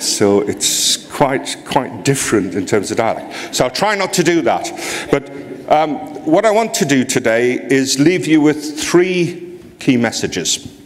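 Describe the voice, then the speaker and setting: In a Geordie accent, a man with a fairly high pitch speaks at a fairly slow pace with very wide pitch swings. Noticeable background noise and audible room echo come through. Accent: Geordie, northeast English. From northeast England, near Newcastle. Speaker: HR association president, conference speaker. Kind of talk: conference keynote. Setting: stage with audience. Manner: speeds up when excited.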